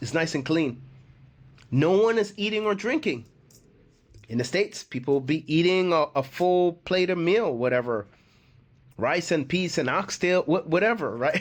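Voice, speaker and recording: Against a quiet background, a man speaks at a high pitch with long, frequent pauses. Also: moderate pace. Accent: American. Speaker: expat YouTuber. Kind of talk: casual vlog talk. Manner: conversational, repetitive with many fillers.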